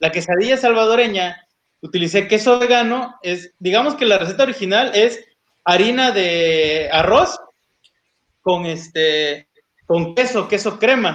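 A man speaks at a fairly slow pace in a high pitch, his intonation lively. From Oaxaca, Mexico. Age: 30s. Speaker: vegan interviewee, office worker. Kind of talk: casual interview chat.

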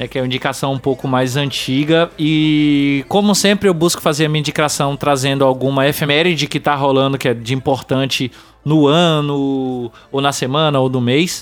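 A man with a normal speaking voice talks at a moderate pace, his fairly high pitch held in fairly even intonation. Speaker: podcast host. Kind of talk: casual chat.

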